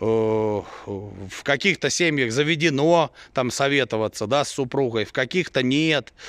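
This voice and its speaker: Against a quiet background with a dry sound and no echo, a man speaks at a fairly slow pace, with very even loudness and ordinary pitch variation. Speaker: sheep breeder vlogger. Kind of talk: casual vlog monologue. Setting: outdoors at farm. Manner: blunt, irritated at times. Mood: mildly irritated. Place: farm. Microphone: phone near.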